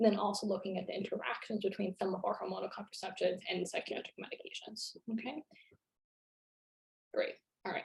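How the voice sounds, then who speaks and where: A woman talks at a fairly quick pace and a medium pitch. Her tone is dark and mellow, and somewhat breathy. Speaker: psychiatrist lecturer. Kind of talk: lecture. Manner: fast.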